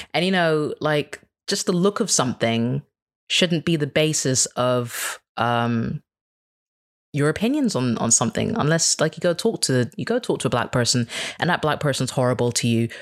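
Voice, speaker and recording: A man uses an ordinary speaking voice with lively intonation and very even loudness, captured in a very clean recording with a silent background and a dry, close sound with no echo. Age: 30s. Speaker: podcaster. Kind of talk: casual interview chat.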